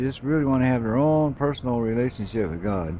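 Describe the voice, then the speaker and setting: Spoken at a fairly quick pace with lively intonation, it is a plain, everyday voice. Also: man. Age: 60s. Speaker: video blogger sharing faith. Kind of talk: casual vlog monologue. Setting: hotel room by window. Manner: rambling, conversational.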